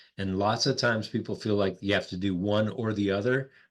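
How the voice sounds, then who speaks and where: Set against a quiet background, the speech has fairly even intonation and a North Dakota accent. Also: man. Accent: North Dakotan. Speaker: executive coach, former pastor. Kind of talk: podcast interview.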